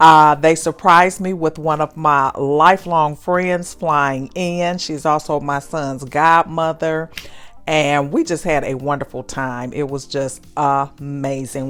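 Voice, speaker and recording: In a very deep, low voice, a woman speaks at a fairly slow pace with a warm, enthusiastic tone. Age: 60s. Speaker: lifestyle vlogger. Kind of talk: casual vlog narration.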